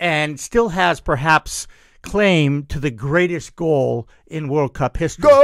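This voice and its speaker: In a very clean recording with a silent background, a man speaks at a very slow pace and a fairly high pitch, with ordinary pitch variation and a dry, close sound with no echo. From US. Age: 60s. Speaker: media talk show host. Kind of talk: casual chat. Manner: animated.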